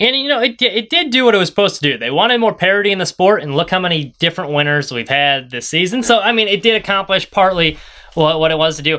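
The voice is raised and projected, with a bright, sharp tone. It moves at a very fast pace with hardly any pauses. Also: man, high pitch for a man, lively intonation. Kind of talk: casual sports podcast analysis, not live commentary, breaking down playoff standings. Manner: brisk, matter-of-fact, ticking off drivers one by one; conversational and opinionated, with hedges like 'I think'.

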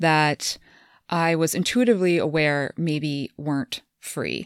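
A woman with a Midwestern US accent, fairly low pitch and ordinary pitch variation, in a very clean recording with a silent background. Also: dry, close sound with no echo. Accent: General American, Midwestern. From Kansas. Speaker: podcast host and transformation coach, former dentist. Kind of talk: casual conversation.

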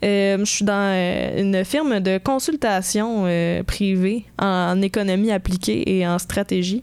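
Speaking very slowly with hardly any pauses, a woman keeps her loudness very even, her pitch medium and its variation ordinary. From Quebec, Sherbrooke. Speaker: economics student podcaster. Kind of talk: casual chat.

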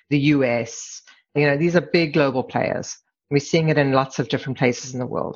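With a South African accent, a woman speaks at a moderate pace in a very deep, low pitch, keeping her intonation fairly even. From South Africa, Durban; moved to Canada at 17. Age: 50s. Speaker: corporate immigration lawyer. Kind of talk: casual interview.

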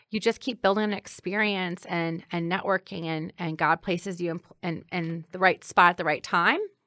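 A woman with an American accent speaks at a moderate pace in a fairly low pitch, her tone bright and sharp and her intonation fairly even, in a very clean, dry, close recording with no echo and a silent background. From Granite City, Illinois. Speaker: city clerk. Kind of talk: interview.

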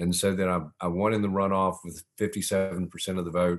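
A man's very deep, low voice with a Southern US accent, fairly quick and monotone, over a quiet background. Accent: Southern American. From US South (Augusta, Georgia). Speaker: former mayor and author. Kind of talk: podcast interview.

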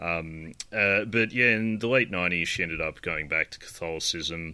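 Speaking with an Australian accent, a man has a very deep, low pitch, a bright, sharp tone and fairly even intonation. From Australia, New South Wales. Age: 30s. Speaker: podcast host. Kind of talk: casual chat.

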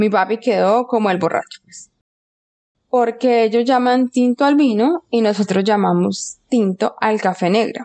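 Dry and close with no echo, a woman's fairly high voice has a dark, mellow tone, ordinary pitch variation, very even loudness and a fairly slow pace. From Colombia. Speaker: geologist. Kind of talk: interview.

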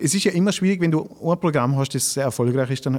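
This is a man with a normal speaking voice, a fairly high pitch and ordinary pitch variation. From Austria, Tyrol (village of Grins). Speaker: cabaret artist and comedian. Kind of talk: casual interview.

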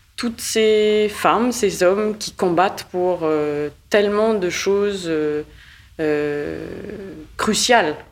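At a very slow pace, a woman talks at a medium pitch. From Mauritius and Canada. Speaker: managing director and artist. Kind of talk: interview conversation. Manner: hesitant.

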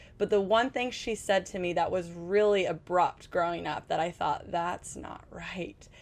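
A woman's unremarkable speaking voice at a medium pitch, with ordinary pitch variation, a fairly slow pace and hardly any pauses. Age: 30s. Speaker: mom influencer. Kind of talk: casual chat. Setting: on a cruise ship.

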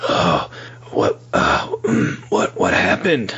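A man puts on a character voice. It comes out hoarse.

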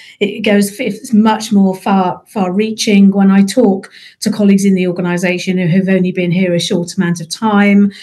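With a British accent, a woman speaks at a moderate pace in a medium pitch, somewhat breathy, with a dark, mellow tone and monotone, flat intonation. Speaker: NHS executive, chief people officer. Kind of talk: casual professional discussion.

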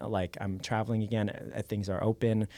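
Very clean and silent in the background, the recording has a man with an American accent speaking at a fairly quick pace, his fairly low voice keeping fairly even intonation. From Los Angeles area, US. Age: 20s. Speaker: dancer and choreographer. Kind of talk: casual chat.

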